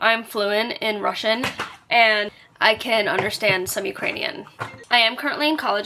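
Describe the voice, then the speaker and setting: With an American accent, a woman speaks at a moderate pace in a fairly high pitch, with noticeable background noise behind her. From New York City, Brooklyn. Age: 20s. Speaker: vlogger. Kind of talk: casual chat. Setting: bedroom. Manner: casual, filler-heavy.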